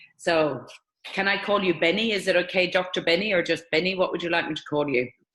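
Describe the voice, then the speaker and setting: A woman's fairly low voice in an Irish accent, at a very fast pace with ordinary pitch variation. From Ireland. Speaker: interviewer, network marketing distributor. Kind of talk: interview.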